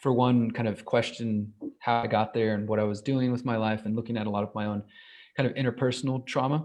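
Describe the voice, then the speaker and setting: A man with an American accent has a plain, everyday voice at a medium pitch. His pace is fairly quick and his intonation fairly even. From Texas, Houston. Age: 30s. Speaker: investigative journalist. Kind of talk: interview. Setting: live video stream.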